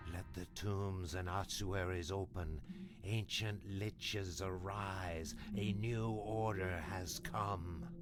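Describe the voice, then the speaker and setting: A man speaks very slowly in a put-on character voice, his pitch very deep and low, over loud background noise. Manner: faint.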